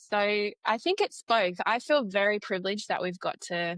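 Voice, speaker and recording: A woman talks at a moderate pace in a very clean recording with a silent background and a dry, close sound with no echo. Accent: Australian. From Australia. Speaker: educational psychologist. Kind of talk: podcast interview.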